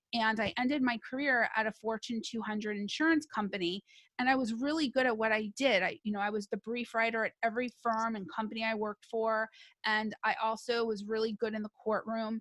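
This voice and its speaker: A woman with a plain, everyday voice speaks fairly quickly at a fairly high pitch, her intonation fairly even. The recording is very clean, with a silent background and a dry, close sound with no echo. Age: 40s. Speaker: attorney turned career coach and resume writer. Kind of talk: interview.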